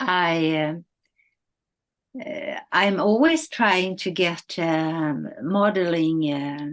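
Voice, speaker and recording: A woman talks very slowly in a fairly low pitch. Her intonation is lively. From northern Sweden. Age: 70s. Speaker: model and influencer. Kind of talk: interview. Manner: halting, many fillers.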